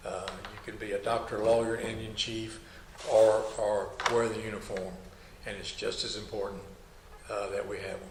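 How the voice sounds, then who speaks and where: Noticeable background noise fills the clip. Through it, a man talks with audible room echo. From Kentucky. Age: 70s. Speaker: army veteran, former drill instructor. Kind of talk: oral history interview. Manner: halting, many fillers and repetitions.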